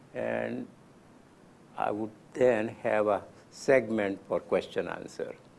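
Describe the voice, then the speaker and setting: A man with a Gujarati accent at a very slow pace, with long, frequent pauses. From India (Gujarat). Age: 90s. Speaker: lecturer. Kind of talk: lecture.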